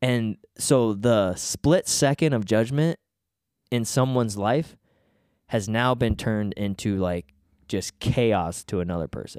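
Here is a man with a normal speaking voice, medium in pitch with ordinary pitch variation, talking at a fairly slow pace. The sound is dry and close with no echo, a very clean recording over a silent background. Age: 20s. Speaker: podcast host. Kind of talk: casual chat.

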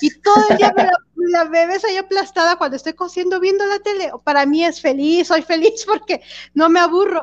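A woman with a Mexican accent at a moderate pace. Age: 40s. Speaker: podcast co-host. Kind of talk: casual chat.

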